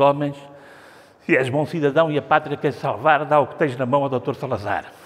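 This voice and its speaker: At a moderate pace, a man speaks with a European Portuguese accent. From Portugal. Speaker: art critic; art critic guide. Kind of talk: gallery talk; gallery talk lecture. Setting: museum gallery with audience. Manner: halting. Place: hall. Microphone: lapel.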